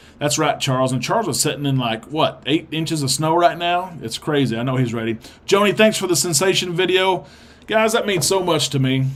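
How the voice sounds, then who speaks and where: A man with a strong Arkansas accent talks in a fairly high pitch. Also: fairly quick pace. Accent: thick Arkansas. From Arkansas, US South. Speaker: livestream host of cruise show. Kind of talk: live stream chat reading viewer comments. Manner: casual, hesitant with many fillers.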